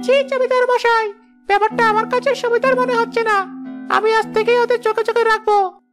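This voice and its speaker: In a cartoonish character voice, a woman speaks at a moderate pace with very even loudness while faint music plays in the background. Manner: sly, scheming.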